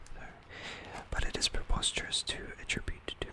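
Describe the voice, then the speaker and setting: The pace is moderate. Whispering comes through noticeable background noise. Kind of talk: ASMR book reading with commentary.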